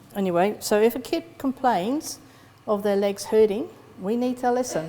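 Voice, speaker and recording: In a West Country accent, a woman speaks with a fairly high pitch and lively intonation. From West Country, England. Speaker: psychologist and lecturer. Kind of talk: conference talk.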